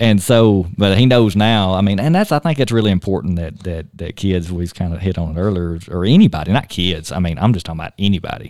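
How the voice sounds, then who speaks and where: Talking at a very fast pace, a man uses a very deep, low pitch with ordinary pitch variation. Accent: Tennessee. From Tennessee. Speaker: state park superintendent. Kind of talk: casual chat. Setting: studio.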